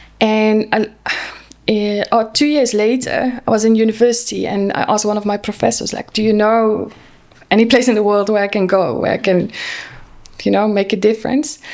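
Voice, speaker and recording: A woman with a Dutch accent speaks at a moderate pace and a fairly high pitch, her intonation fairly even. Noticeable background noise is present. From Netherlands. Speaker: social worker. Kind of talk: podcast interview.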